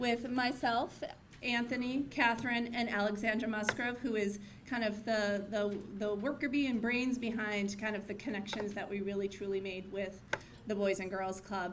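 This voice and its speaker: A woman speaks at a moderate pace, her loudness swinging widely. Audible room echo surrounds her voice. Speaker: corporate community partner accepting award. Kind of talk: acceptance speech. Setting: gala stage with audience and mic. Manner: halting.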